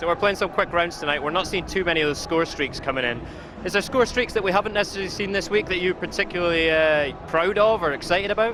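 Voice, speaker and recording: A man talks at a very fast pace in a high voice. There is noticeable background noise. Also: ordinary pitch variation. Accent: Scottish. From Scotland. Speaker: esports presenter. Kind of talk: live commentary.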